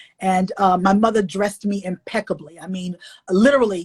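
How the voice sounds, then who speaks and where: A woman's medium-pitched, somewhat breathy voice with an animated tone. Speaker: author and illustrator. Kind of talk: interview.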